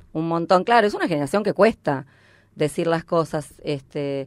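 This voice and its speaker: A woman with an ordinary speaking voice, fairly low in pitch, with ordinary pitch variation. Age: 50s. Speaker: stand-up comedian. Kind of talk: casual chat.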